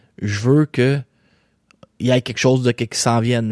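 An animated man with a Quebec accent, dry and close with no echo, on a very clean recording with a silent background. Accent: Québécois French. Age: young. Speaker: boxing podcast host. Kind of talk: casual solo commentary.

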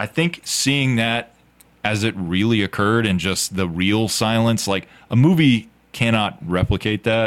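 With a plain, everyday voice, a man speaks at a fairly slow pace, fairly low in pitch and with ordinary pitch variation. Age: 30s. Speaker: podcast host. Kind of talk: casual chat. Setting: studio.

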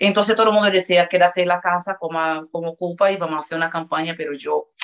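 Very fast and with a Portuguese accent, a woman speaks. Her pitch is fairly low and her intonation fairly even. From Brazil, Salvador de Bahía. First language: Portuguese (speaking Spanish). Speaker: interview guest, hotel worker. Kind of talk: interview, personal testimony.

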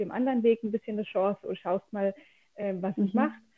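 A woman with an ordinary speaking voice speaks at a fairly high pitch with fairly even intonation. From southwest Germany, near Freiburg. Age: 30s. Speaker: cancer patient. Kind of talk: casual interview.

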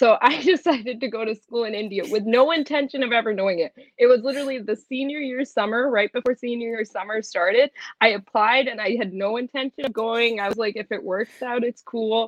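A woman with an American accent and an unremarkable speaking voice talks at a fairly quick pace in a fairly high pitch, with ordinary pitch variation and a dry, close sound with no echo. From US, Punjabi family. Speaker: student and model. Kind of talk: casual interview chat.

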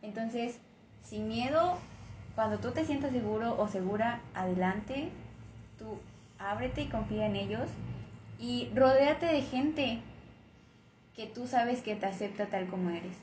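Soft-spoken and lively in intonation, the speaker goes at a fairly slow pace with long, frequent pauses, and audible room echo surrounds the voice. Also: woman, fairly high pitch for a woman. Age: 20s. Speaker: guest. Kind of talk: casual chat.

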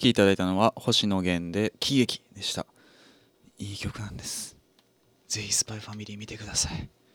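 Flat, monotone delivery at a moderate pace, with big swings in loudness, in a very clean recording with a silent background and a dry, close sound with no echo. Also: man, fairly low pitch for a man. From Japan, Fukuoka. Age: 20s. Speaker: radio host. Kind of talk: casual chat.

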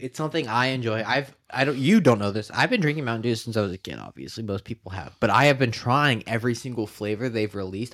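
At a very fast pace, a man with an American accent speaks at medium pitch with lively intonation. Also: very clean recording, silent background. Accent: sounds like a valley girl, by own account. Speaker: podcast host. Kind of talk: casual chat.

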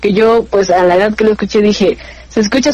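Speaking at a very fast pace over noticeable background noise, a woman uses a medium pitch with ordinary pitch variation. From Mexico, Pachuca, Hidalgo. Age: 20s. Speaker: communication student and radio announcer. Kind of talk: casual interview chat.

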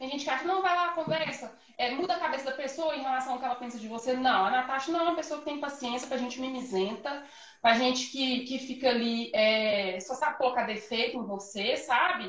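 Amid audible room echo and noticeable background noise, a woman talks at a fairly quick pace in a high voice with ordinary pitch variation. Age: 20s. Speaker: confectioner, small business owner. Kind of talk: casual interview chat. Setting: Instagram live video. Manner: animated.

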